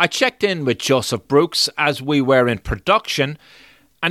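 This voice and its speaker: This man has a bright, sharp tone and a fairly high pitch, speaking with an Irish accent. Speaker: podcast host. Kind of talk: scripted narration.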